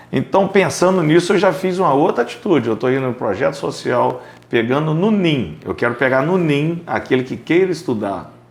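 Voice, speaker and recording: Very wide pitch swings mark this man's speech. He talks at a moderate pace. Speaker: podcast host and accounting business owner. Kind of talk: casual interview chat.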